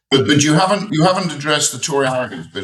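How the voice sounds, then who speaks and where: A man with an English accent. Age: 60s. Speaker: parliamentary candidate. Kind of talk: heated debate. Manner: animated.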